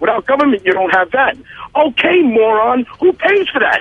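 Amid noticeable background noise, a man talks at a fairly quick pace with an extremely high pitch and very wide pitch swings. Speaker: political commentator. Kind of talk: political commentary. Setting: phone call from a gas station. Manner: emphatic.

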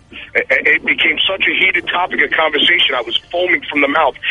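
A man with a high pitch, music in the background. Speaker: political commentator. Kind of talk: political commentary. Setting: phone call from a gas station. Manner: emphatic.

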